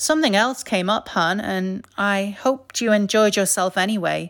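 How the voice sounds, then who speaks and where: An unremarkable speaking voice, a woman's at medium pitch, moves at a moderate pace on a very clean recording with a silent background. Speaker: storyteller, artist and podcaster. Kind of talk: personal storytelling narration.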